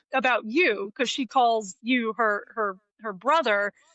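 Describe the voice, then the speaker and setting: A woman with a slight New Jersey accent speaks at a high pitch in an animated tone. Her pace is fairly slow. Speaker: live wedding painter. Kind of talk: casual interview.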